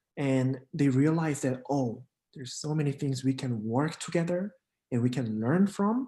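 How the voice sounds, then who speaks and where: A man with a Korean accent speaks at a fairly high pitch. His pace is moderate, with ordinary pitch variation. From South Korea. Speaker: international exchange program coordinator. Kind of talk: casual interview. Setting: live stream.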